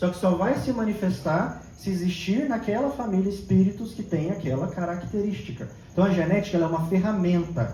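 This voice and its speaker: High-pitched male speech with audible room echo and noticeable background noise. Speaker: therapist and spiritist lecturer. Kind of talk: lecture.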